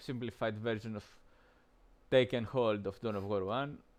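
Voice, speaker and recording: This man speaks at a fairly quick pace and a medium pitch. His intonation stays fairly even. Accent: non-native. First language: not English. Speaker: game streamer. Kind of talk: gameplay commentary. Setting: live stream. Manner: halting, many fillers.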